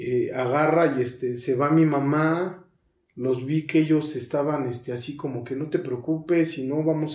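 A man's fairly high voice, fairly even in intonation, at a moderate pace, with audible room echo. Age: 30s. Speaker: recovering addict. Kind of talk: testimony. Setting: studio.

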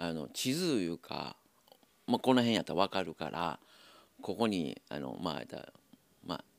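Vocal fry and very wide pitch swings at a moderate pace, with long, frequent pauses, in a dry, close sound with no echo. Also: man, very deep, low pitch for a man. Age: 60s. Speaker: tobacco shop owner. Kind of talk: casual interview. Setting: shop in shopping arcade.

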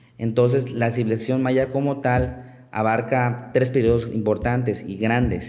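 A man talks at a fairly slow pace and medium pitch, monotone and flat, with hardly any pauses. Audible room echo surrounds his voice. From Chiapas, Mexico. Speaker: archaeologist. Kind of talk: interview.

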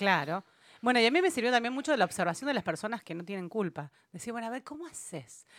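A woman speaks at a very fast pace with a fairly high pitch, very wide pitch swings, and big swings in loudness. The sound is dry and close with no echo, on a very clean recording with a silent background. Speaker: radio co-host, music therapist. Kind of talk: casual chat.

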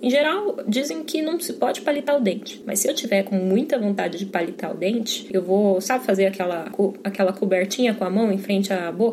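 Speech with lively intonation runs on with hardly any pauses over noticeable background noise. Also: woman, medium pitch for a woman, fairly quick pace. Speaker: podcast host on drinks. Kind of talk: casual monologue. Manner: animated.

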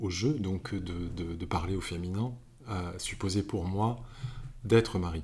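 A man's very deep, low voice, somewhat breathy and dark and mellow, with fairly even intonation at a very slow pace. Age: 50s. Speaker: novelist. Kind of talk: interview. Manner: halting, many repetitions and hesitations.

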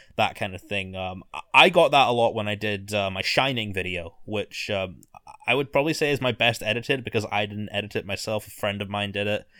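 A man speaks in a Scottish accent with a fairly low pitch and a bright, sharp tone. His pace is fairly quick, and his pitch variation is ordinary. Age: 20s. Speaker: author and video essayist. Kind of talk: casual chat. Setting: at home in his room.

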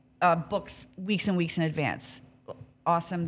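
An animated, somewhat breathy woman's voice at medium pitch, with a Canadian accent. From Canada, Hamilton, Ontario. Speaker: restaurant business owner. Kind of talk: casual interview chat.

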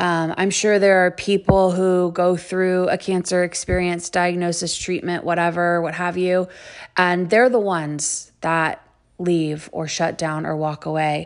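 Against a quiet background, a woman with an American accent speaks in a fairly low pitch. Her intonation is monotone and flat, and her pace is fairly slow. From Texas, Houston area. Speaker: podcast host. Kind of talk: personal monologue.

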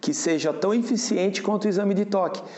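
A man is speaking. Audible echo fills the room around him. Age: 50s. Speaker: prostate cancer patient, auto body shop owner. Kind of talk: interview testimony. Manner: halting, with fillers and repetitions.

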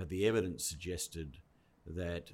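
Somewhat breathy, a man speaks with very deep, low pitch and fairly even intonation. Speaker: education department head. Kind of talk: interview podcast.

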